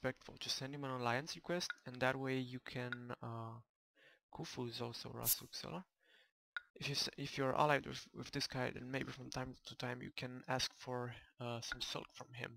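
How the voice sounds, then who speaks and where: A quiet man at a moderate pace, medium-pitched and bright and sharp in tone, with fairly even intonation, dry sound with no echo, and light background noise. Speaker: gamer. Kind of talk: video game commentary. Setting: home microphone recording. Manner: quiet, low volume.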